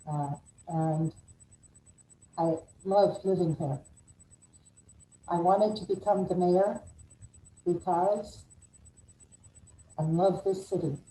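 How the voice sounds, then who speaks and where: Speaking very slowly with long, frequent pauses, a woman has a somewhat breathy, fairly low voice and ordinary pitch variation. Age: 60s. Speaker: mayoral candidate, attorney. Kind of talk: campaign opening statement. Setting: live video call.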